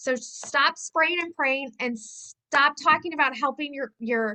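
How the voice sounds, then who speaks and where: A woman's raised, projected voice in a bright, sharp tone, with ordinary pitch variation. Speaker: direct sales team leader. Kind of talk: team meeting talk. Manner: fast; animated.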